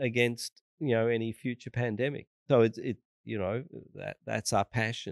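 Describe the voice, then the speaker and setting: Recorded with a dry, close sound and no echo, a man speaks at a medium pitch with fairly even intonation. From Australia. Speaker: vaccine researcher. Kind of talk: interview.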